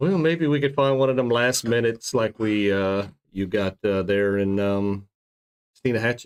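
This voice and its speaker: A man talks at a moderate pace in a normal speaking voice, medium in pitch with ordinary variation. His loudness stays very even. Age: 40s. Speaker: fishing guide and show host. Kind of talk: casual chat.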